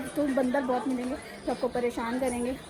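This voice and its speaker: Amid crowd noise and audible room echo, a woman speaks at a moderate pace. Her high voice stays in a monotone, flat intonation. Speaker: travel vlogger. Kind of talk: travel vlog narration. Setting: outdoors at hilltop temple. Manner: conversational, addressing viewers.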